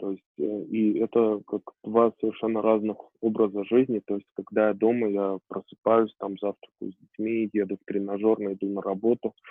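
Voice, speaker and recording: Over music in the background, a man with a fairly low pitch speaks in a flat monotone at a moderate pace. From Armenia. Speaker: IT company founder, programmer. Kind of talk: interview.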